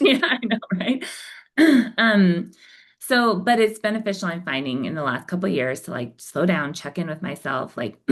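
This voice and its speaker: Very wide swings in pitch from a woman with a medium-pitched voice. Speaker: novelist. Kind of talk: podcast interview. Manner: fast.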